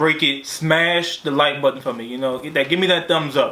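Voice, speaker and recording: Noticeable background noise runs behind a man who talks very fast with fairly even intonation. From New Orleans, Louisiana (Gentilly / Algiers, West Bank). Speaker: podcast host. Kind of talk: casual interview chat. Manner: relaxed, slangy.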